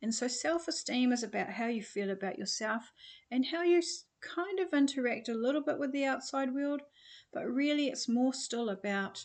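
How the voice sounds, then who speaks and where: Against a quiet background, a woman with a New Zealand accent speaks at a moderate pace in a high pitch with lively intonation. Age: 60s. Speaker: personal development coach. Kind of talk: online course introduction. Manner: hesitant, many fillers.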